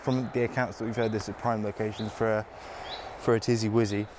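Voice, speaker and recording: A man speaks against noticeable background noise. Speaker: field guide in a comedy mockumentary. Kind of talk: mock documentary field presenting. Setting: outdoors in woodland. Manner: hushed, quiet voice; hesitant, with fillers and repeats.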